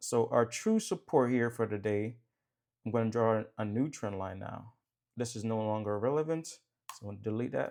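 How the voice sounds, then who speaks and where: Moving at a moderate pace, a man has a medium pitch, ordinary pitch variation and an unremarkable speaking voice. The recording is very clean, with a silent background. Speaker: trading educator. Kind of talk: market analysis tutorial. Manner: casual.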